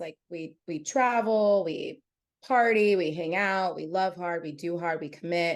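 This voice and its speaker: A woman with an ordinary speaking voice talks at medium pitch and a fairly slow pace, with ordinary pitch variation. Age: 30s. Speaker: podcast guest sharing personal story. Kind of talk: casual interview conversation. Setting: podcast recording.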